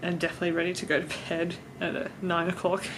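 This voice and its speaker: A strong Australian accent at a fairly quick pace. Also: woman. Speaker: vlogger. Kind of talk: travel vlog. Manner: casual, hesitant with fillers.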